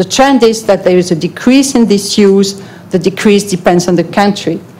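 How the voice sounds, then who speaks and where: A woman with a non-native accent speaks at a moderate pace in a medium pitch, her pitch varying in an ordinary way over noticeable background noise. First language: not English. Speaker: European Commission official presenting to an advisory panel. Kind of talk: formal presentation at a public hearing.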